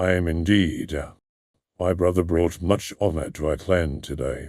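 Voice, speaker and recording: Put-on character voice from a man, very deep and low, at a moderate pace. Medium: audio drama. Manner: smooth, even-toned, polished.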